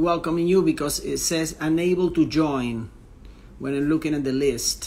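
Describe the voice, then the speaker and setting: This man speaks with a strong non-native accent at a fairly high pitch. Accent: strong foreign accent in English. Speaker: tennis interviewer, coach. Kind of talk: live-stream interview intro. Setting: Instagram live stream. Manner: halting, many fillers.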